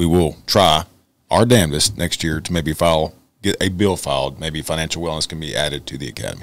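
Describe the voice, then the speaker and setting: In a Texan accent, a man with a very deep, low pitch and vocal fry speaks at a fairly quick pace. His pitch varies in an ordinary way, and the sound is dry with no echo. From Texas. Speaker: podcast co-host, police officer; podcast host. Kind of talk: casual interview. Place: studio. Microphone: studio mic.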